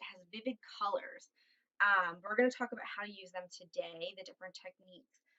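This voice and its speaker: A woman speaks with an American accent. Her pitch rises and falls in an ordinary way. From southeastern Pennsylvania, Philadelphia suburbs. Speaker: art teacher. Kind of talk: tutorial. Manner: casual, with frequent fillers.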